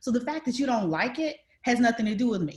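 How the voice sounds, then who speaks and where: A woman's somewhat breathy voice carries lively intonation. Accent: American. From US South, rural North Florida. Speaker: panelist, corporate leader. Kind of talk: panel discussion.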